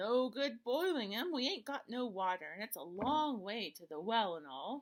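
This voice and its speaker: A woman's fairly high put-on character voice at a moderate pace. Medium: read story. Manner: gruff, bickering.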